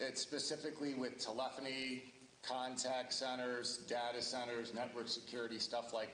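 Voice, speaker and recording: Here a man talks at a medium pitch with a Midwestern US accent. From Ohio. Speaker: local election candidate. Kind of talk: candidate introduction at public forum. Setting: public forum with audience and microphone. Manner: loud.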